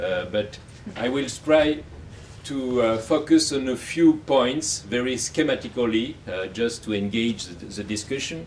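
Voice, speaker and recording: A man with a French accent speaks at a fairly slow pace in a medium pitch, with lively intonation and big swings in loudness. Noticeable background noise runs under his voice. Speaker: academic, book coeditor. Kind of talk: academic talk. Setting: university event with audience. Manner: halting, many fillers.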